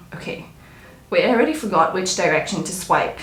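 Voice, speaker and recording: Noticeable background noise and audible room echo surround a woman whose pitch swings very widely. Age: 20s. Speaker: vlogger. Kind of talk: casual vlog talk. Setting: at home. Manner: hesitant.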